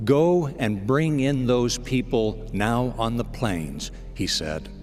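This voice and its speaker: A man at medium pitch, with music in the background. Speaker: radio broadcast announcer, inspirational spoken-word host. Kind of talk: inspirational devotional broadcast narration. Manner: calm, warm, measured.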